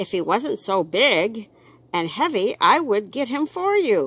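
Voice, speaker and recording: Using a put-on character voice, a woman talks fairly slowly at a fairly high pitch with very wide pitch swings. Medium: read story. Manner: brisk, matter-of-fact.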